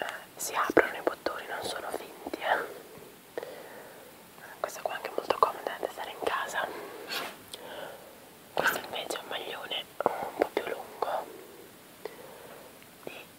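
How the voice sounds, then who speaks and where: A woman whispers at a fairly slow pace with long, frequent pauses and big swings in loudness over noticeable background noise. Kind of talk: ASMR clothing show-and-tell, casual talk to camera. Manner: whispered, soft-spoken, relaxing.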